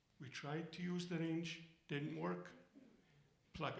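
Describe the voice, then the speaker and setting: The voice has an Arabic accent and a very slow pace, heard with audible room echo. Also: man. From Egypt. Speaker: storyteller. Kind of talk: stage storytelling. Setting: stage with audience.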